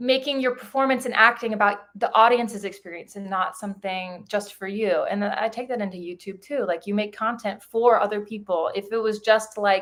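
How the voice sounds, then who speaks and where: A woman's fairly high voice with hardly any pauses. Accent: West Coast US. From US Pacific Northwest, near Portland Oregon. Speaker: YouTuber. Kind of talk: live stream Q&A, casual chat. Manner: animated.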